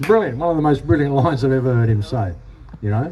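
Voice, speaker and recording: Talking at a very fast pace with lively intonation, a man with an Australian accent and a medium pitch comes through over noticeable background noise. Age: 60s. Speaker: protest speaker. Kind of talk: rally speech and Q&A. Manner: animated.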